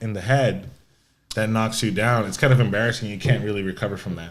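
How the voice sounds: At a fast pace, a man speaks with a fairly low pitch and fairly even intonation.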